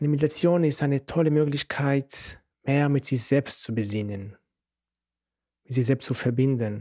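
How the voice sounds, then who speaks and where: A man's dark, mellow voice at fairly high pitch, moderate pace, with long, frequent pauses. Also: ordinary pitch variation, dry, close sound with no echo. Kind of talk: guided meditation.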